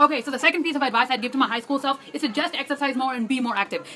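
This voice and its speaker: Over noticeable background noise, a woman talks at a very fast pace in a raised, projected, high-pitched voice with an animated tone. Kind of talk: casual vlog monologue. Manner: fast, filler-heavy.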